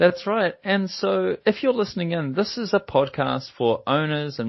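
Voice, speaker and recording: Using very wide pitch swings, a man with a New Zealand accent talks at a moderate pace. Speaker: podcast host, software company executive. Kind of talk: podcast conversation. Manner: hesitant, with fillers and repetitions.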